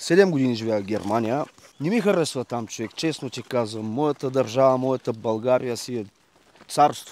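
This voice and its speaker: An unremarkable speaking voice from a man at a medium pitch, moderate pace and ordinary pitch variation. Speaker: dog owner. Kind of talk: casual interview.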